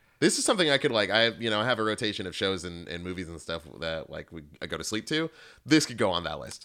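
In a very clean recording with a silent background, a man talks at a very fast pace, his fairly low pitch swinging very widely. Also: big swings in loudness. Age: 30s. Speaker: podcast co-host. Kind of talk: casual chat.

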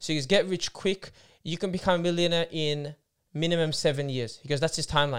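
Someone talks at a very fast pace with an Australian accent, recorded very cleanly against a silent background. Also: man. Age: 20s. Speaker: podcast co-host. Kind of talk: casual chat.

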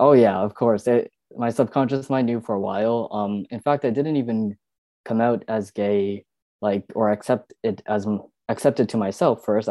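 The man's voice sits at a medium pitch with fairly even intonation. He speaks at a moderate pace. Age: 20s. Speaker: guest. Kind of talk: casual interview conversation. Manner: casual, hesitant with fillers.

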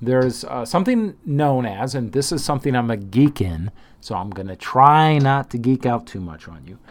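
Recorded very cleanly against a silent background, a man with a plain, everyday voice talks at a moderate pace and medium pitch, his intonation lively and his loudness swinging widely. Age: 50s. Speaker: trading podcast host. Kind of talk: solo monologue. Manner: casual, with fillers.

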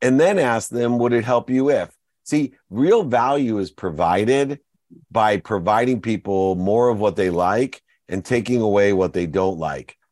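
At a fairly slow pace, a man with an unremarkable speaking voice talks at a medium pitch with lively intonation against a quiet background. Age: 50s. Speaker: entrepreneur and motivational speaker. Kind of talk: interview.

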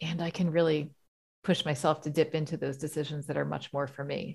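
A woman with a very deep, low pitch, vocal fry and an American accent, a fairly quick pace and fairly even intonation, on a very clean recording with a silent background. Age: 40s. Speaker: leadership coach. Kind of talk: casual interview.

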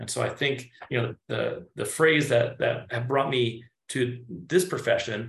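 The man's voice is somewhat breathy. He talks at a moderate pace. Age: 40s. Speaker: chiropractor. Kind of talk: conversational explanation and role play.

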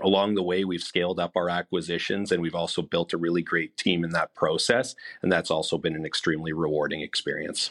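With a Manitoban accent, a man with a very deep, low pitch races along at a very fast pace, with hardly any pauses, fairly even intonation and a dry, close sound with no echo. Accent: Canadian (Manitoba). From Canada, Winnipeg. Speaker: corporate development executive. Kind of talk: interview. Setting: studio.

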